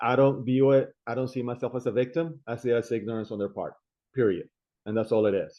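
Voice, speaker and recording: Speaking very fast, a man with a non-native accent keeps a medium pitch and fairly even intonation. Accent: foreign. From immigrant, abroad. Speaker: city council candidate. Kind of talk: interview.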